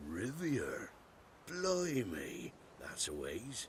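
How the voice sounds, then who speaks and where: A man puts on a raspy character voice over clear background noise. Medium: video game. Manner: rustic, folksy.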